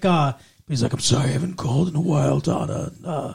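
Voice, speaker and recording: A put-on character voice. The pace is moderate. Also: man, fairly high pitch for a man. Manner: menacing, creepy.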